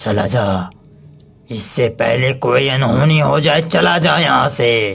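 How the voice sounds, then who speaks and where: A man puts on a cartoonish character voice at a medium pitch and speaks at a fairly slow pace. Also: lively intonation. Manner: commanding, ominous.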